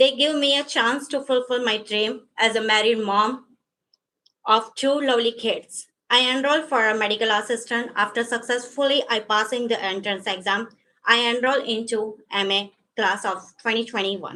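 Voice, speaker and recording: Here a woman talks at a moderate pace in a fairly high voice. Her intonation is fairly even. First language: not English. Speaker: adult education graduate giving a speech. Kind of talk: graduation speech. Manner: halting.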